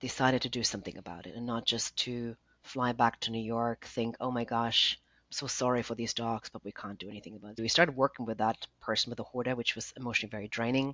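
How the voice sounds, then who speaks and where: Speaking very fast with a German accent, a woman has a very deep, low pitch and fairly even intonation. Her loudness swings widely. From Germany. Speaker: nonprofit founder. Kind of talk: interview.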